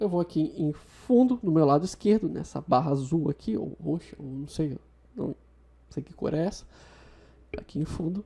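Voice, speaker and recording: This woman has a very deep, low pitch and a dark, mellow tone with vocal fry, using lively intonation, big swings in loudness, and long, frequent pauses. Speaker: video tutorial host. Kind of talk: software tutorial. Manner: fast.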